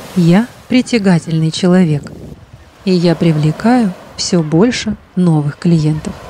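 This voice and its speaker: A woman with a fairly low pitch speaks in a calm, soothing tone at a very slow pace, with long, frequent pauses. Her loudness stays very even and her pitch varies normally, with noticeable background noise behind her. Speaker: hypnologist. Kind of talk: guided meditation.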